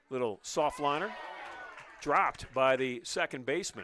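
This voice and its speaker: Lively in intonation, a man talks in an American accent over noticeable background noise. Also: long, frequent pauses. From northern Ohio, US. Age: 60s. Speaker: baseball play-by-play announcer. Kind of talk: live sports commentary. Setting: live radio and stream broadcast.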